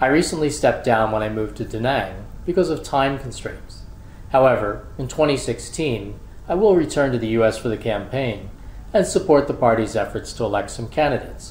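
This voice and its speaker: A man talks at a moderate pace with an American accent and a plain, everyday voice. His medium pitch carries lively intonation. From US Northeast, Philadelphia. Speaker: college administrator. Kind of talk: scripted narration. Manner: formal.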